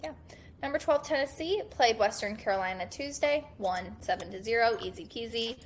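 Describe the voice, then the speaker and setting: At a moderate pace, a woman with a fairly high pitch uses lively intonation, vocal fry and big swings in loudness. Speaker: college baseball podcast host. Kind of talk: casual chat.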